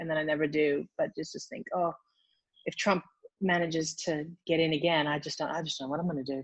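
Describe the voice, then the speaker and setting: A woman talks very fast with a slight American accent. Her pitch is very deep and low, and her intonation fairly even. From United States. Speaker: fertility doctor. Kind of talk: casual chat.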